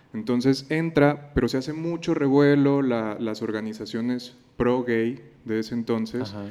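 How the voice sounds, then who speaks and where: At a moderate pace, a man speaks at medium pitch with a dark, mellow tone. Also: ordinary pitch variation. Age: 20s. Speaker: psychologist and teacher. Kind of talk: casual chat.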